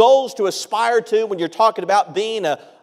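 The speech moves at a moderate pace. The background is quiet. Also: man. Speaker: preacher. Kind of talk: sermon. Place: church. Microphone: lapel.

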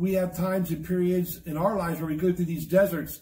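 A man talks in a high voice with ordinary pitch variation. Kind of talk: bible study lecture. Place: office.

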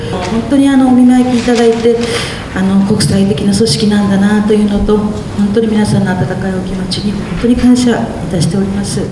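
Audible room echo with music in the background. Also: woman, ordinary pitch variation, moderate pace. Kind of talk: meeting testimony. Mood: grateful, earnest. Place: hall. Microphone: handheld.

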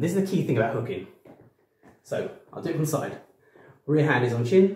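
Audible room echo surrounds a man with a dark, mellow, somewhat breathy tone. He speaks at a fairly quick pace with lively intonation. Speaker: boxing coach. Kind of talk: tutorial. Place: home room. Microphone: camera far.

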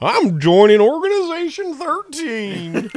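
A put-on character voice pitched high, with very wide pitch swings. The pace is fairly slow. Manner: goofy.

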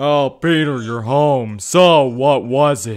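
In a gruff, put-on character voice at medium pitch, a man speaks at a very slow pace. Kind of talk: comic overacting. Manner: gruff, aggressive.

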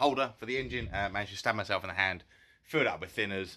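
The man's tone is bright and sharp, with ordinary pitch variation. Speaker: car restoration vlogger. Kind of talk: casual vlog chat. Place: garage. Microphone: phone near.

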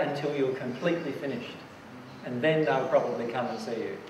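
A man talks at a fairly quick pace with ordinary pitch variation, his voice carrying audible room echo over light background noise. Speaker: presenter. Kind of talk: lecture answering audience question. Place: hall.

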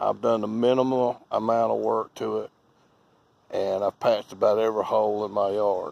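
A man speaks with a North Carolina accent. The sound is dry, with no echo. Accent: US Southern (North Carolina). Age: old. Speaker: lawn care business owner. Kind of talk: tutorial. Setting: outdoors. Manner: casual, folksy. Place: garden. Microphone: phone near.

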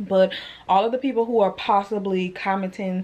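The woman keeps to a moderate pace. Her pitch stays fairly even throughout. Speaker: vlogger. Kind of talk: casual vlog chat. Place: home room. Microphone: phone near.

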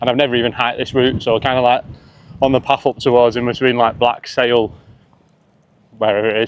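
A man's clear, smooth voice at medium pitch and a fairly quick pace

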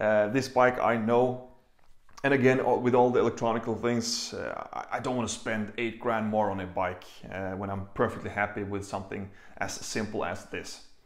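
A man's fairly even intonation carries audible room echo. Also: moderate pace, quiet background. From Norway. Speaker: motorcycle vlogger. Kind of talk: vlog monologue. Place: home room.

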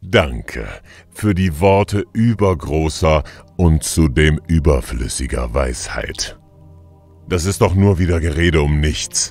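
Faint music plays behind a man doing a put-on character voice at a very deep, low pitch and a fairly slow pace. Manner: scornful, impatient.

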